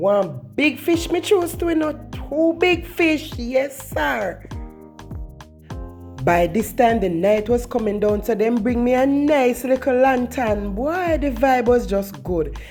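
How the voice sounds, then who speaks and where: Music plays behind a woman speaking in a Jamaican accent. Her fairly high voice moves very slowly through very wide pitch swings. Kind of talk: casual vlog narration.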